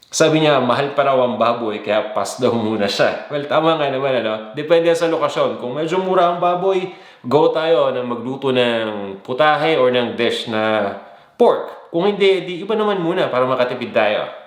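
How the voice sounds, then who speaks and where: Amid noticeable background noise and audible room echo, a man speaks at a moderate pace. His fairly high voice has lively intonation. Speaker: cooking show host. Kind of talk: live chat greetings to viewers. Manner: casual.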